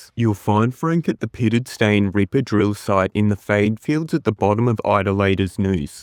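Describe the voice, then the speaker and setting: A man with an Australian accent speaks with hardly any pauses, at fairly low pitch with ordinary variation and very even loudness. The sound is dry and close with no echo, on a very clean recording with a silent background. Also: moderate pace. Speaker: gaming guide creator. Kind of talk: tutorial.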